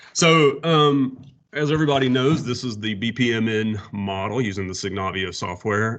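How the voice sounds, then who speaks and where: A man speaks at a moderate pace with a Southern US accent. His pitch varies in an ordinary way, and the background is quiet. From US South. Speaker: water utility planner presenting. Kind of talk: workshop presentation.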